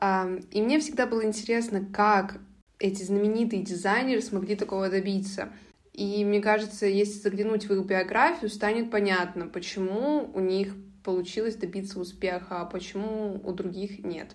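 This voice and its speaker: Audible room echo surrounds the voice. The intonation is fairly even. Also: woman, medium pitch for a woman, moderate pace. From Russia, Karelia (Petrozavodsk). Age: 20s. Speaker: podcast host, university student. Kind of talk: solo podcast monologue.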